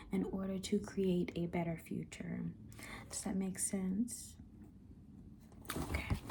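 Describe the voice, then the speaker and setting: A woman speaks at a very slow pace in a somewhat breathy voice with a dark, mellow tone. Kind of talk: reading a history textbook aloud with explanatory asides. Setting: studio microphone, close-mic ASMR. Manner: slow, measured, with filler words and self-corrections.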